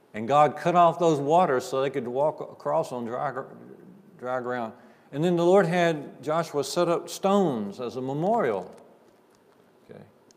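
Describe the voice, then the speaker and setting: Speaking in a Southern US accent at a fairly high pitch, a man moves at a moderate pace with lively intonation, big swings in loudness and long, frequent pauses. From US South. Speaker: preacher. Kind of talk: sermon. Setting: church. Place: church.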